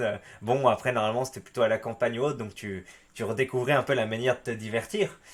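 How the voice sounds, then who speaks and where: A man speaks at a fairly quick pace. His voice sits at a medium pitch. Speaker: YouTuber reading and commenting forum stories. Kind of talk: reading aloud; casual commentary. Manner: animated.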